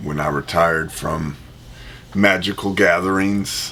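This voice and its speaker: A man's very deep, low pitch with a bright, sharp tone and an American accent, at a fairly slow pace with audible room echo. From US Midwest, Indianapolis. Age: 30s. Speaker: board game youtuber. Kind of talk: casual chat.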